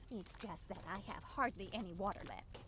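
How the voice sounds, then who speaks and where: Over loud background noise, a put-on character voice speaks at a middle pitch and a moderate pace. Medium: video game. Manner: fretful, worrying.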